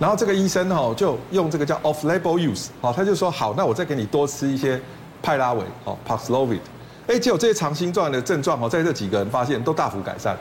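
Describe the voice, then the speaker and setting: A man talks very fast at a fairly high pitch, with very wide pitch swings. Noticeable background noise is present. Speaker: emergency medicine professor. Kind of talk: TV talk show explanation.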